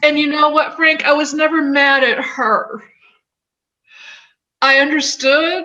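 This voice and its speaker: A woman with a high pitch uses a raised, projected voice, speaking at a very slow pace with fairly even intonation. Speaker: author and speaker on grief. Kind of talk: interview testimony. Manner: halting.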